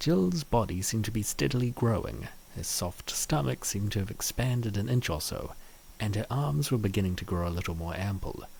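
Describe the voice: Speaking at a moderate pace, a man with a fairly low pitch uses lively intonation, with vocal fry and a slightly mellow tone.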